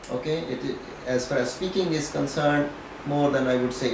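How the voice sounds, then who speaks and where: A man's medium-pitched voice at a fairly quick pace, with noticeable background noise and audible room echo. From Pakistan, Punjab. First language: Punjabi. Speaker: professor. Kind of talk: interview.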